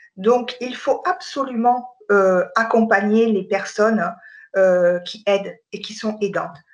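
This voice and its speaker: A woman speaking very slowly at a fairly high pitch, with ordinary pitch variation and big swings in loudness. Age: 50s. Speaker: burnout association volunteer. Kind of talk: interview testimony. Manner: hesitant, with fillers.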